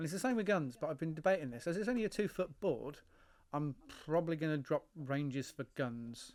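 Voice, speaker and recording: In an English accent, a man speaks at a fairly quick pace with lively intonation. The recording is very clean, with a silent background. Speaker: hobby model builder and game designer. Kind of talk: casual build commentary. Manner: rambling, hesitant.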